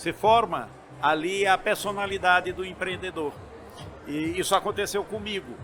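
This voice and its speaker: With long, frequent pauses, a high-pitched man talks at a moderate pace and with fairly even intonation. Noticeable background noise runs underneath. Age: 60s. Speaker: entrepreneur and university chancellor. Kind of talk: interview. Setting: event booth at trade fair. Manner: halting.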